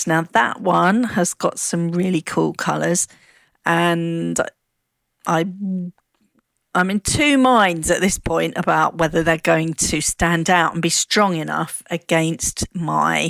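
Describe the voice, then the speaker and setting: In a British accent, a woman speaks at a very slow pace, with a dry, close sound and no echo. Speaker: craft youtuber. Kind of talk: tutorial. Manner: casual, chatty.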